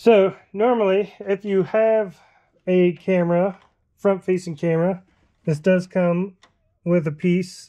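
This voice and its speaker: A woman's dark, mellow tone at a very slow pace, with long, frequent pauses and fairly even intonation, over a quiet background. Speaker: DIY vehicle parts reviewer. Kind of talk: tutorial commentary. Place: garage. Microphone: phone near.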